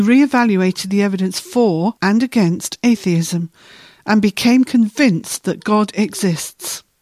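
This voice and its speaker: A woman with a fairly high pitch speaks at a moderate pace, somewhat breathy, with ordinary pitch variation. The recording is very clean with a silent background and a dry, close sound with no echo. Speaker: co-host asking questions. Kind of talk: explanatory dialogue about a book.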